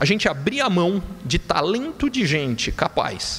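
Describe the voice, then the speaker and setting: The man's voice is high-pitched. His pitch swings very widely. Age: 40s. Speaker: economist. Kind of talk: conference talk.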